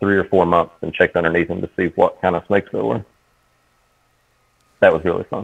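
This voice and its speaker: A man with an Appalachian accent speaks in a very deep, low voice with fairly even intonation, recorded dry and close with no echo. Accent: Appalachian Southern US. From Eastern Kentucky. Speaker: horror author and field biologist. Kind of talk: casual podcast chat.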